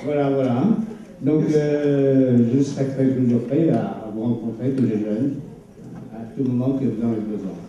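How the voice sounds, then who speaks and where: Noticeable background noise and audible room echo surround a man who talks at a fairly slow pace with ordinary pitch variation. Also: medium pitch for a man. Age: 70s. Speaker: retired sea captain, witness. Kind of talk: testimony to students. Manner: halting, many hesitations.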